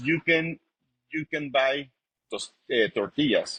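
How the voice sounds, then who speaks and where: This man speaks at a fairly slow pace with a Spanish accent. The sound is dry and close, with no echo. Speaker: chef and restaurant owner. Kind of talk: interview. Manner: halting.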